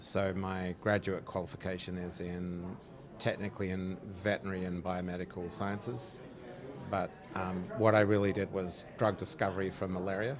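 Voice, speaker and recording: A man with an Australian accent and a very deep, low pitch talks at a moderate pace with fairly even intonation, amid audible room echo. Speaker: drug researcher, company founder. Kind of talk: interview. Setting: live at a conference.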